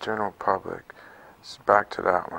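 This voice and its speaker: Here a man speaks with an American accent at a moderate pace. His tone is bright and sharp. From Atlanta, Georgia, US South; Georgia. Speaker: artist; interviewee. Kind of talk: interview; interview answer. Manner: halting, many fillers. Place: hall. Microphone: lapel.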